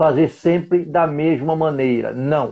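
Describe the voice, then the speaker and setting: The pace is fairly slow. Pitch moves in an ordinary way. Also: man. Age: 70s. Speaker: logistics expert and trainer. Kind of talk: live stream interview. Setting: online live stream.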